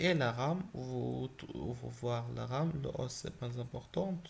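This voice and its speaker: This man's voice sits at a medium pitch. It comes across as somewhat breathy. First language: not French (speaking French). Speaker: gaming YouTuber. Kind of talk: tutorial. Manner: halting.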